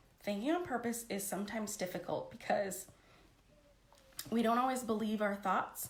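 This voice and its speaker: Somewhat breathy, a woman at a fairly high pitch speaks with ordinary pitch variation and long, frequent pauses in a room with audible echo. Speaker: life coach. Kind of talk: live stream coaching talk. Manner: fast; animated.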